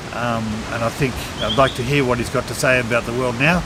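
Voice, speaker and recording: Speaking with an Australian accent at a moderate pace, a man is heard amid audible room echo and noticeable background noise. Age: 60s. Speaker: reality show contestant. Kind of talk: interview. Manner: halting.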